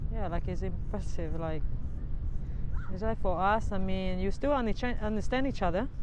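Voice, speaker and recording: Noticeable background noise sits under a woman's dry voice, which has no echo. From Dominican Republic. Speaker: freelance mobile barber. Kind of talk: casual talk, conversational interview answer. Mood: cheerful, relaxed. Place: beach. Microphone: lapel.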